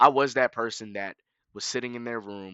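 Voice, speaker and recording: A man with an American accent and an ordinary speaking voice, medium in pitch, at a moderate pace. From US South, Fayetteville, North Carolina. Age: young. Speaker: streamer. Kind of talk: scripted narration; casual chat.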